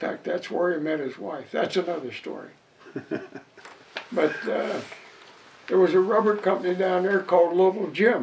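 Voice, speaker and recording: The speaker has an Ohio accent and a moderate pace with ordinary pitch variation. Long, frequent pauses break up the speech over noticeable background noise. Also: man, high pitch for a man. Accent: Ohio, American Midwest. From East Palestine, Ohio. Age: 80s+. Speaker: retired railroad brakeman. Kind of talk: interview answer.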